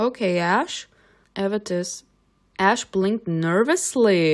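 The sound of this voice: Pitch moves in an ordinary way here. The reading voice is unforced.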